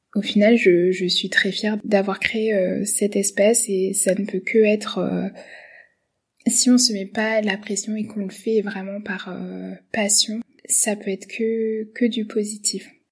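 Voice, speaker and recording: The voice is somewhat breathy and stays monotone, with flat intonation. It moves at a very slow pace. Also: woman, medium pitch for a woman. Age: 20s. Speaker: medical resident and podcaster. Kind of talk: self-presentation monologue. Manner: halting.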